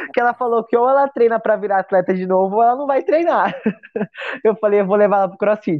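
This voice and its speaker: Her pitch is fairly high and varies in an ordinary way. The woman speaks very fast. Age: 30s. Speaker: CrossFit athlete and coach. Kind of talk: casual interview chat. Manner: halting, many repetitions.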